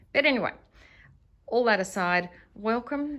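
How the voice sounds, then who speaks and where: With an Australian accent, a woman speaks at a fairly slow pace. Her pitch is fairly high and swings very widely. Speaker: guesthouse owner. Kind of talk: home tour vlog. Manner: breathless at times.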